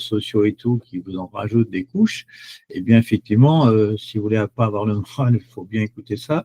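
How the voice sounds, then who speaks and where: A man speaks at a fairly low pitch in a dark, mellow tone, with ordinary pitch variation. His pace is moderate, and the sound is dry and close with no echo. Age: 70s. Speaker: chocolate product seller. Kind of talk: webinar presentation. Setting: online webinar. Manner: hesitant, many fillers.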